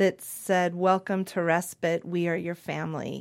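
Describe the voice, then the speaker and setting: The voice holds a monotone, flat intonation on a very clean recording with a silent background. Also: woman. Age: 50s. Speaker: nurse. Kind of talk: conversational interview.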